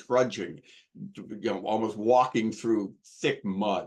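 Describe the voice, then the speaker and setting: Speaking at a fairly slow pace, a man with a normal speaking voice keeps a fairly low pitch and ordinary pitch variation. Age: 60s. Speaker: recovering alcoholic sharing his story. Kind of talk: testimony.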